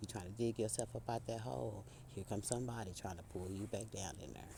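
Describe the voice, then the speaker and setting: Fairly low and dark, mellow in tone, this man's voice moves at a fairly quick pace with vocal fry and ordinary pitch variation. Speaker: spiritual speaker. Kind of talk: inspirational monologue. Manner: casual, conversational; halting.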